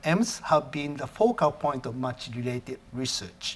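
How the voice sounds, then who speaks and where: This man's intonation is lively and his voice somewhat breathy. He speaks at a moderate pace. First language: Japanese. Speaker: professor. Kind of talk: lecture. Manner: halting, with self-corrections.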